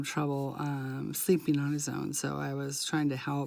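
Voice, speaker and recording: Very clean recording, silent background, and a voice with an American accent. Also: woman. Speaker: craft vlogger. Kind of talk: casual chat. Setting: home at night, quiet. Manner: monotone, quieter than usual; halting, many fillers.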